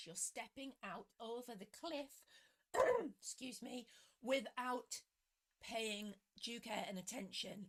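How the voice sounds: A woman's croaky, put-on character voice at a fairly high pitch, fairly slow, with long, frequent pauses.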